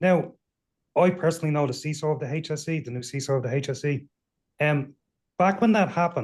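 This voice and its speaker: In an Irish accent, the speaker goes at a very fast pace with long, frequent pauses, somewhat breathy and with ordinary pitch variation, against a quiet background. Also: man, fairly high pitch for a man. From Ireland. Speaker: cybersecurity panelist. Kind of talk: panel discussion.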